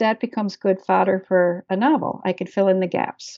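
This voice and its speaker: The speaker has an unremarkable speaking voice with an American accent. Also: woman. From Maryland. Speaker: author and historian. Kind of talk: interview.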